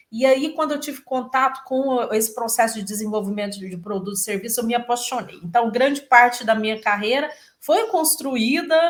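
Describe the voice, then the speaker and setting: A woman speaks at a moderate pace in a fairly high voice, her pitch varying in an ordinary way. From Brazil, Goiás (Itumbiara). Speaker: innovation lab executive, engineer. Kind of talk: interview.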